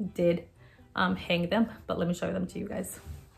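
A somewhat breathy woman with an American accent at a fairly quick pace. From Texas. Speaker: YouTuber, lifestyle vlogger. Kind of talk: casual vlog haul, talking to camera. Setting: at home, living room, parrot in background. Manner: animated. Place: home room. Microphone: phone near.

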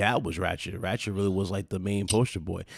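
The tone is animated, captured in a dry, close, very clean recording with no echo and a silent background. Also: man. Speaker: gaming channel host. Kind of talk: casual chat. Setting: live stream.

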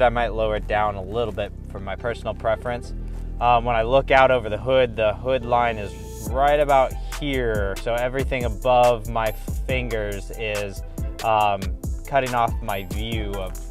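The sound is dry with no echo as a man talks at a moderate pace. Clear music plays behind him. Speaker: truck owner reviewer. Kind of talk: product review tutorial. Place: car. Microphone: camera far.

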